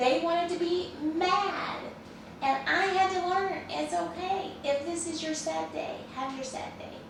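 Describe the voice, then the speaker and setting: A woman's extremely high voice at a fairly slow pace, with ordinary pitch variation and audible room echo. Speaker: care business owner and trainer. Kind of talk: training talk. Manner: conversational.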